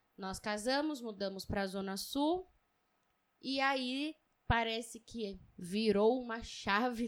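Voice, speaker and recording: A woman's fairly high voice at a very slow pace, with ordinary pitch variation, on a very clean recording with a silent background. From São Paulo, East Zone. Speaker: podcast co-host. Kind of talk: casual chat.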